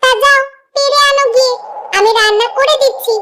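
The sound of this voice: A woman speaks in a cartoonish character voice that is squeaky and extremely high-pitched. Her intonation stays fairly even. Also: moderate pace.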